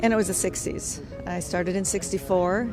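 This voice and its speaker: Music plays in the background as a woman with an Upper Midwest accent speaks. Her pitch is medium and her pace moderate. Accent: Upper Midwest American. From rural Minnesota. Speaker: former Army nurse, Vietnam veteran. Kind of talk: interview answer.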